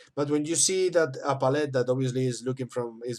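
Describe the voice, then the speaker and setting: The recording is very clean, with a silent background. A man with a non-native accent speaks at medium pitch with fairly even intonation. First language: not English. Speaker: miniature painting teacher. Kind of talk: tutorial. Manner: halting.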